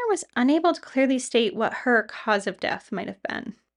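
In a serious tone, a woman with a high pitch and a bright, sharp sound talks at a moderate pace. Her pitch swings very widely. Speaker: podcast co-host. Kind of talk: true-crime narration, scripted storytelling of the case in a measured, serious tone. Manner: measured, serious, steady.

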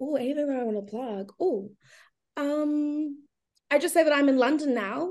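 Long, frequent pauses break up a woman's high-pitched speech, which runs at a moderate pace with ordinary pitch variation. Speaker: reality TV contestant. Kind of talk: casual interview chat. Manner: animated, excitable.

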